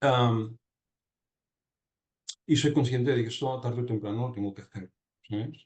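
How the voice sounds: A man talks at a fairly slow pace and medium pitch. His tone is slightly mellow, with ordinary pitch variation.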